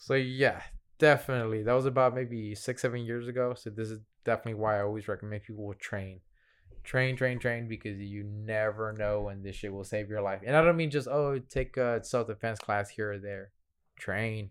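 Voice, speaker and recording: In a very clean recording with a silent background, a man with an American accent talks at a fairly quick pace in an unremarkable speaking voice, with medium pitch and fairly even intonation. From Houston, Texas. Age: 30s. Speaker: Muay Thai fighter and coach. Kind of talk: casual interview.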